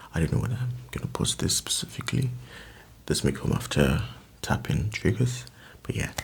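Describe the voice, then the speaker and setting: A man whispers at a moderate pace. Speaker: ASMR creator. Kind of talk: soft-spoken ASMR chat. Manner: soft-spoken; rambling, casual.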